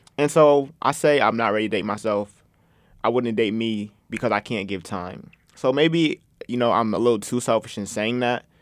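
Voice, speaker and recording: Recorded very cleanly over a silent background, a man speaks at a moderate pace in a normal speaking voice with a medium pitch. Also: ordinary pitch variation. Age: 20s. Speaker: podcast host, college student. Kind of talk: casual chat. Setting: studio.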